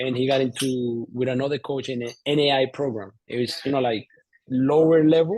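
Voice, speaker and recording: A Colombian accent with fairly even intonation at a fairly quick pace. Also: man, medium pitch for a man. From Colombia, Bogotá. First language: Spanish. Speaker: entrepreneur, former soccer player. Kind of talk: interview. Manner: halting, many fillers and repeats.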